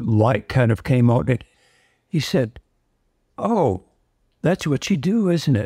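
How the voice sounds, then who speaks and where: In a very clean recording with a silent background and a dry, close sound without echo, a man with an American accent speaks very slowly at a medium pitch, his dark, mellow, somewhat breathy voice keeping very even loudness and lively intonation amid long, frequent pauses. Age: 80s+. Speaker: former military intelligence specialist and remote viewing trainer. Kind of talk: interview.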